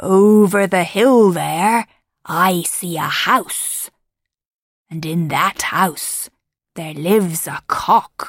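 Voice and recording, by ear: A gruff, put-on character voice that sounds female speaks at a medium pitch. The pace is very slow, with long, frequent pauses.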